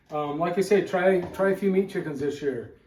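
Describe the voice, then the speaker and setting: A man with a normal speaking voice talks at a fairly quick pace with fairly even intonation. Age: 60s. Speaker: homesteader. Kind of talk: cooking tutorial. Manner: casual, relaxed with fillers.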